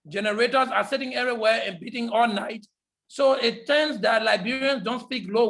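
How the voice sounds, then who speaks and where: Loud and extremely high in pitch, a man speaks at a fairly quick pace with ordinary pitch variation. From Liberia. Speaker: public health lecturer. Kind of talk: lecture Q&A.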